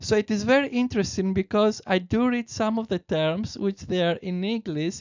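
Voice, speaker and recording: A woman speaks at a medium pitch with a Greek accent. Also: ordinary pitch variation, moderate pace. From Greece. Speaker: presenter of spiritual teachings. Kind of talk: presentation reading; casual aside. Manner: halting with self-corrections.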